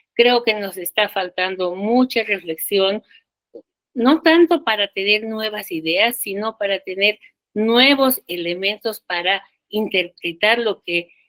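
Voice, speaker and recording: Very slow pace, with ordinary pitch variation. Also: woman, medium pitch for a woman. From Bolivia. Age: 70s. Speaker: sociologist and feminist activist. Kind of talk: panel talk.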